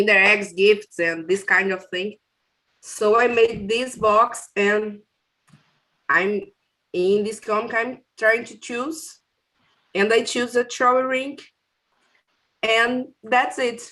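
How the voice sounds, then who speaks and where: A woman with a fairly high pitch and a bright, sharp tone speaks at a very slow pace. She leaves long, frequent pauses, and her loudness swings a lot. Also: ordinary pitch variation. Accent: Brazilian. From Brazil. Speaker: workshop participant. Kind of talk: casual show-and-tell. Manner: halting.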